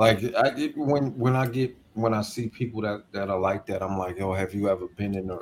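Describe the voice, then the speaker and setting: A man with a plain, everyday voice talks at a fairly quick pace. His pitch is fairly low, with ordinary pitch variation. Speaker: podcast host. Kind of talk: casual banter.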